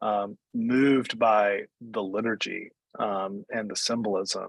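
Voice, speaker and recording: In a dry, close recording with no echo, a man with an Appalachian accent speaks at a very slow pace. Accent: Appalachian Southern US. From US South, Appalachian North Carolina (Wilkes County). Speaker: Episcopal priest. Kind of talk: oral history interview. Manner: halting, many fillers.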